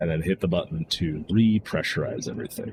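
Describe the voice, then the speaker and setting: At a moderate pace and with ordinary pitch variation, a man's somewhat breathy voice carries through. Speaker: video game streamer. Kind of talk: gameplay commentary. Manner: casual.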